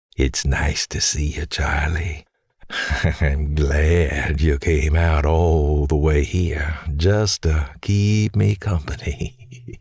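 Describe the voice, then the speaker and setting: A man uses a raspy put-on character voice with very deep, low pitch. He speaks at a very slow pace. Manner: ghostly, eerie.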